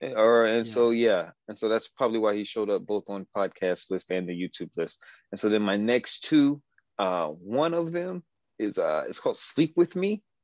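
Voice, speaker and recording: In a dry, close sound with no echo and a quiet background, a man with an American accent speaks at medium pitch with very wide pitch swings. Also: moderate pace. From Detroit west side, US Midwest. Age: 30s. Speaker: podcast guest, host's cousin. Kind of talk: casual chat.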